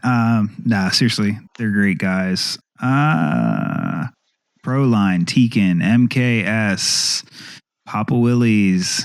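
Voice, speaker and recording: A man with an American accent, fairly low in pitch, at a very slow pace, on a very clean recording with a silent background. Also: ordinary pitch variation. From between northern and southern US. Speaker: podcast host. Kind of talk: casual chat. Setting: home basement. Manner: many fillers (uh, um).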